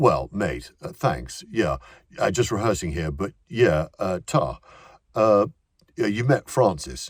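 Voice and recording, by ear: A man's put-on character voice, low-pitched, slow and slightly husky, with lively intonation on a very clean recording, silent background.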